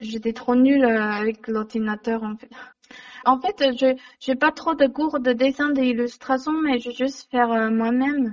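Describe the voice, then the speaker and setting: The speaker has a Chinese accent and a fairly slow pace. The intonation stays fairly even. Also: woman, high pitch for a woman. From China. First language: Mandarin Chinese (speaking French). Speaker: illustrator and comic author. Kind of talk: interview. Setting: phone call. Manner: halting.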